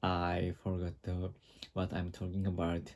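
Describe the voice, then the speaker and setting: A man's very deep, low voice with a dark, mellow tone, a Japanese accent and a fairly slow pace, in a very clean recording over a silent background. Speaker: vlogger. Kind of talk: casual monologue vlog. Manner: halting, many fillers and restarts.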